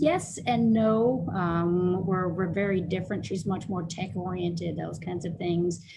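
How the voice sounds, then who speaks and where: Somewhat breathy and fairly low in pitch, a woman speaks at a moderate pace. Her pitch variation is ordinary. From Louisville, Kentucky. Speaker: martial arts master instructor and nurse practitioner. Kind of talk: interview.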